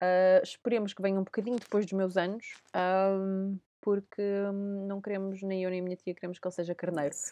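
At a moderate pace, a woman talks with a European Portuguese accent. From Portugal. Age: 30s. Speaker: podcast host. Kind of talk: casual chat.

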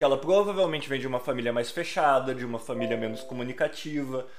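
Through audible room echo, a man talks with ordinary pitch variation. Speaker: podcast host. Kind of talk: casual chat. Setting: live stream.

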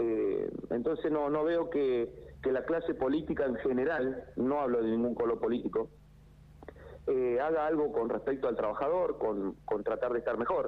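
Moderate pace and very even loudness. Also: man. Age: 40s. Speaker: builder. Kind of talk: phone interview. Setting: phone call. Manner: halting.

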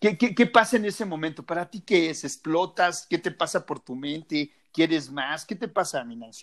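Against a quiet background, a man with a high voice talks at a moderate pace with hardly any pauses, his intonation lively, his tone animated and his loudness swinging widely. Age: 40s. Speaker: podcast co-host. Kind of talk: casual chat.

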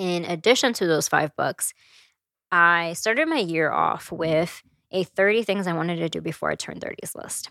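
A woman with an unremarkable speaking voice speaks at a moderate pace with fairly low pitch and ordinary pitch variation. The recording is very clean, dry and close, with a silent background and no echo. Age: 20s. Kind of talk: solo reflective monologue. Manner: casual, conversational with laughter.

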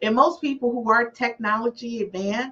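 The tone of this woman's speech is animated. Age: 50s. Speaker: podcast host. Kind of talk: casual chat.

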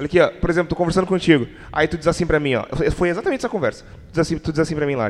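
A man's high voice at a very fast pace, with ordinary pitch variation. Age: 20s. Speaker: podcast host. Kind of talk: casual chat.

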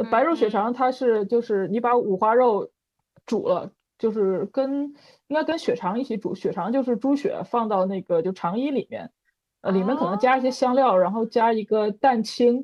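This woman has a plain, everyday voice, pitched fairly high. She keeps a moderate pace with ordinary pitch variation. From Northeast China, Changchun. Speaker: bird illustrator. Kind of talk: casual chat.

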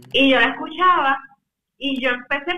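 Music plays in the background. Over it a woman talks with ordinary pitch variation. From Puerto Rico. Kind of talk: interview.

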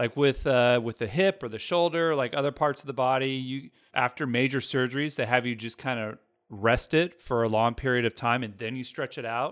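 A man's medium-pitched voice at a fairly quick pace, with ordinary pitch variation, on a very clean recording with a silent background. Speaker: physical therapist. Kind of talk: casual chat with health advice. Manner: dry tone.

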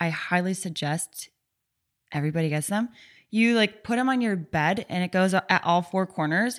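On a very clean recording with a silent background, a woman with an American accent talks in a plain, everyday voice at medium pitch and a moderate pace, with ordinary pitch variation. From US small town. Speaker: recurring podcast guest. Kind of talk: casual chat.

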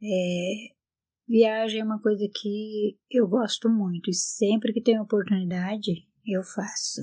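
A woman's fairly high, somewhat breathy voice, dark and mellow in tone, monotone and flat, at a very slow pace. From Brazil, northern Paraná countryside. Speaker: retired seamstress. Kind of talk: personal life testimony. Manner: halting.

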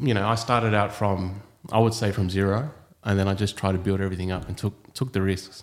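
At a moderate pace, a man speaks with a fairly low voice and fairly even intonation. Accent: Australian. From Australia, Sydney. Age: 30s. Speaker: property developer. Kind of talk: casual chat.

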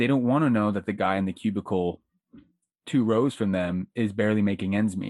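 A man with an American accent talks at a fairly quick pace in a normal speaking voice. His fairly low pitch varies in an ordinary way, and the sound is dry and close with no echo. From Florida, Pasco County. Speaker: writer and podcaster. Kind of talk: casual chat.

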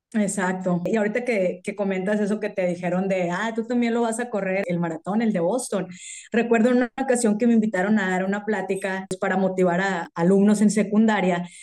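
This woman has an unremarkable speaking voice at medium pitch, talking at a fairly quick pace with hardly any pauses and fairly even intonation. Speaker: amateur marathon runner, office worker. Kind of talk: casual chat.

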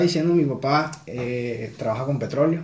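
The speech moves at a fairly slow pace with fairly even intonation, and audible room echo surrounds it. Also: man. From Venezuela, Carúpano, Sucre state. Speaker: Venezuelan immigrant. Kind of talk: casual chat.

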